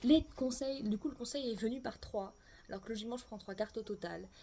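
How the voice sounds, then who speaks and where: A somewhat breathy woman's voice with a dark, mellow tone. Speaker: tarot and oracle card reader. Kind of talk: oracle card reading for viewers. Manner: casual, hesitant with fillers.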